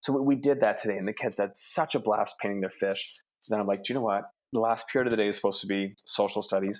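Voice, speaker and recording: Someone with a Canadian accent talks at a very fast pace with ordinary pitch variation. The recording is very clean, with a silent background. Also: man. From Southern Ontario. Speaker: elementary school teacher. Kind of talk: podcast interview. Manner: animated.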